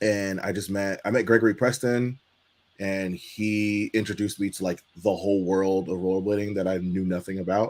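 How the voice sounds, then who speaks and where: A man with an American accent talks at a fairly low pitch in a monotone, flat intonation. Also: moderate pace. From Los Angeles, US. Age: 30s. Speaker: inline skater and skate channel host. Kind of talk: casual interview. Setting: live stream.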